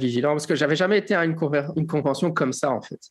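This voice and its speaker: Speaking at a very fast pace, a man with a fairly high pitch shows ordinary pitch variation over noticeable background noise. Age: 40s. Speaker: podcast host. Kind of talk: casual chat. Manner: halting.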